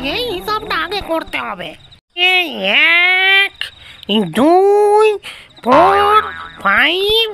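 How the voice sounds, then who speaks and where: The pitch is extremely high. It is a cartoonish character voice. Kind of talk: comic overacting. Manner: mixes broken English into Bengali.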